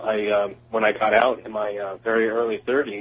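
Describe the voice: With an American accent, a man speaks in a fairly low pitch with little pitch movement, a nervous tone and a slightly husky edge. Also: moderate pace.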